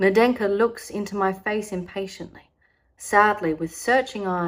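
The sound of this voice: The background stays quiet while an unforced reading voice reads the text.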